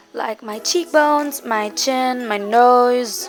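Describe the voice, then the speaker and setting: Over music in the background, a woman with a high pitch speaks at a very slow pace with lively intonation. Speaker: beauty vlogger. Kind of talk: voiceover tutorial. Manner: casual, conversational.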